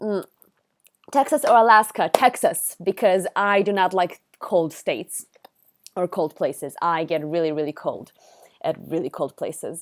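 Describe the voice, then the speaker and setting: Against a silent background on a very clean recording, a woman with an Israeli accent speaks at a moderate pace with medium pitch and lively intonation. The sound is dry and close with no echo, and her speech has long, frequent pauses. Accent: Israeli accent, often mistaken for American. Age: 20s. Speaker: streamer. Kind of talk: casual live stream chat. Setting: live stream.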